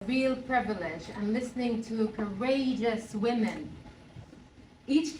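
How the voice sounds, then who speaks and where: A woman's high-pitched voice at a fairly slow pace, with fairly even intonation over noticeable background noise. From Jerusalem, Palestine. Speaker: author and poet. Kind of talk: conference keynote speech.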